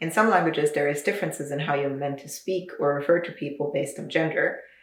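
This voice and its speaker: Very fast and with big swings in loudness, a woman with a North American accent speaks at a very deep, low pitch over noticeable background noise. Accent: North American-sounding, picked up online. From Luxembourg. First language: Luxembourgish. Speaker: video essayist. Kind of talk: video essay. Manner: casual, animated.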